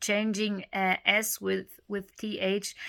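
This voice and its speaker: Against a very clean recording with a silent background, a woman with a German accent speaks at medium pitch in a bright, sharp tone. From Germany. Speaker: speech therapy video creator. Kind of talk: informal tutorial. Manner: halting, many fillers.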